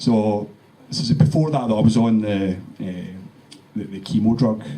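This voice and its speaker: Over noticeable background noise, a man talks at a fairly quick pace with a fairly low pitch. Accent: Glaswegian. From Scotland, Glasgow. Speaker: cancer survivor. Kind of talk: testimony. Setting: meeting with audience. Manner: halting.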